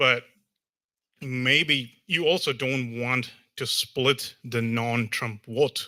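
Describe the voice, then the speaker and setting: A man with an American accent speaks in a bright, sharp tone at medium pitch, on a very clean recording with a silent background. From outside the US. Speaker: audience member asking a question. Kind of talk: audience question. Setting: hall with audience. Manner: halting.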